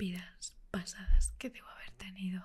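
Whispering, a woman talks in a soft-spoken manner. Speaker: content creator. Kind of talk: soft roleplay talk to the viewer. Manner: soft intimate ASMR whisper. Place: home room.

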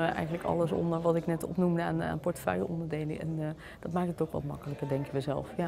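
Someone talks at a very fast pace over noticeable background noise. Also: woman. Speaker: local politician, alderman. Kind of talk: press interview. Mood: upbeat, confident. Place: meeting room.

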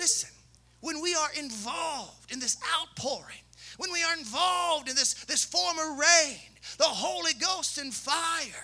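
With a Southern US accent, the speaker uses a raised, projected voice and an animated tone, with ordinary pitch variation and a fairly slow pace. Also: man, extremely high pitch for a man. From Kentucky. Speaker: pastor. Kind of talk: sermon. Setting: church. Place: church. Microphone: handheld.

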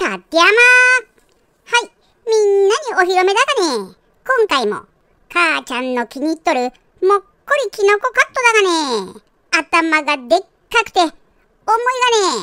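Putting on a character voice, a woman goes to an extremely high pitch with very wide pitch swings, keeping a moderate pace broken by long, frequent pauses. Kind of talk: comedic pet dubbing.

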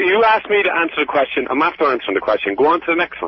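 A man with an Irish accent at a very fast pace, loudness very even. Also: dry sound with no echo. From Ireland. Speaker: prank call target. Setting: phone. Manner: irritable, curt. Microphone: phone line.

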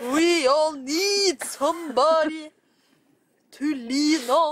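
A woman speaks at a very slow pace in a high pitch. Her tone is fairly bright. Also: ordinary pitch variation.

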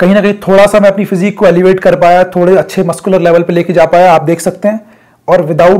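A man speaks in a high pitch with fairly even intonation. His tone is slightly mellow.

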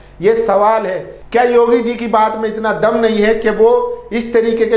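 Audible room echo surrounds a man who speaks fairly slowly in a high-pitched voice.

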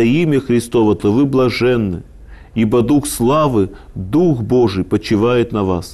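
A man's dark, mellow voice, fairly slow, with ordinary pitch variation. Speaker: lecturer on scripture. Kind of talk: lecture. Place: studio. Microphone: lapel.

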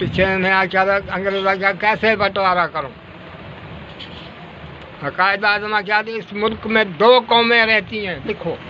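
A man's high-pitched voice with fairly even intonation over light background noise. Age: 80s+. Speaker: elder recounting history. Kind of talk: oral history interview answer. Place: shop. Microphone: phone near.

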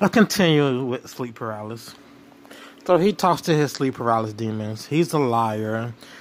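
Speaking at a moderate pace and medium pitch, a man with an unremarkable speaking voice uses lively intonation. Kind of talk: commentary talk to camera.

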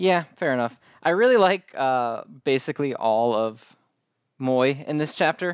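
Over a quiet background, with a dry, close sound and no echo, a man uses an ordinary speaking voice at a fairly slow pace with lively intonation. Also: fairly high pitch for a man. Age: 30s. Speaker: anime podcast co-host. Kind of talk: casual chat.

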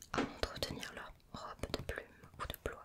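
A woman whispering. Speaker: ASMR creator. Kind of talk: ASMR magazine page flipping. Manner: whispered; slow, soft-spoken. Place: home room.

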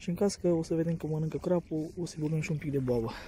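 With a high pitch and a fairly quick pace, a man speaks in a dry sound with no echo over light background noise. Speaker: angler vlogger. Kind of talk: casual vlog chat, tutorial. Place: waterside. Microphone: phone near.

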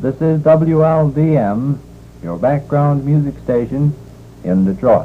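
A very slow man's voice, fairly high in pitch with a dark, mellow tone and ordinary pitch variation, over light background noise. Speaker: radio announcer. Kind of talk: radio station identification and sign-off. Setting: vintage broadcast recording. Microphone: old recording.

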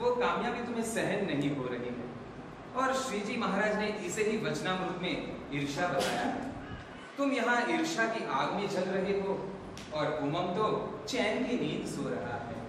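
A man talks with long, frequent pauses. Strong room echo and noticeable background noise surround his voice. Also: fairly slow pace. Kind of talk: staged skit dialogue, advice speech. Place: hall. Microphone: camera far.

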